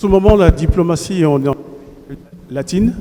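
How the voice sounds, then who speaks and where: A man's high-pitched voice at a fairly slow pace, with ordinary pitch variation and noticeable background noise. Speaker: journalist. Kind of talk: press question. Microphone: intermittent sound, mic problems.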